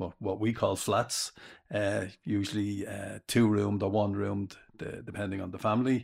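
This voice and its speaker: On a very clean recording with a silent background, a man with a Dublin accent speaks at a moderate pace, his fairly low pitch held in fairly even intonation. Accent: Dublin Irish. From Dublin, Ireland (inner city). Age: 60s. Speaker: retired father, former stay-at-home dad. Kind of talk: casual chat. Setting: sitting with a microphone, first recording. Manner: halting, repeats words.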